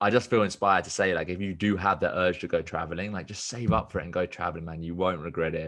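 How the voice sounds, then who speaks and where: A man's very deep, low voice with a southern English accent, very fast pace and hardly any pauses, over a quiet background. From southern England (Watford). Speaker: business coach and podcaster. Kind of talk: casual chat. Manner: animated.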